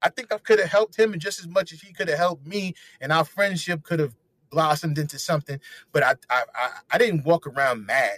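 A man with a New York accent, high pitch, ordinary pitch variation and big swings in loudness, at a fairly quick pace, in a dry, close sound with no echo. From New York, Harlem. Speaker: comedian and radio personality. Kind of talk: casual interview chat.

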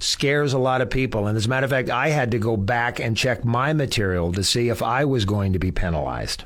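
A man with a plain, everyday voice speaks at a fairly quick pace and medium pitch, with hardly any pauses. His intonation is lively and his loudness very even. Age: 60s. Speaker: radio host. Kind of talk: radio interview. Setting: studio.

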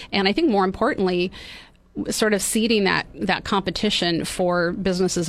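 At a fairly quick pace, a woman with an ordinary speaking voice keeps a medium pitch and fairly even intonation. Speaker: mayor and county supervisor candidate. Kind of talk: radio interview. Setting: studio.

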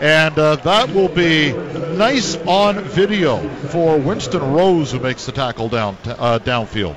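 Against noticeable background noise, a man with a fairly high pitch speaks at a very slow pace with lively intonation and hardly any pauses. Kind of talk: live play-by-play radio commentary. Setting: radio broadcast. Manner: brisk, fluent play-by-play delivery calling each down and sack.

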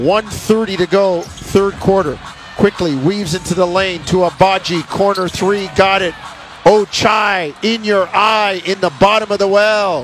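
A man's high-pitched voice is heard while music plays behind him. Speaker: radio play-by-play announcer. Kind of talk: rapid-fire basketball play-by-play, calling each pass, drive and shot live. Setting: radio broadcast booth.

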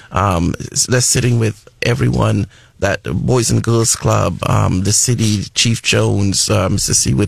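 Over noticeable background noise, a man talks at a fairly slow pace and a fairly low pitch. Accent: American. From Trinidad and Tobago. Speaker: school superintendent. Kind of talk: radio interview. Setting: radio studio.

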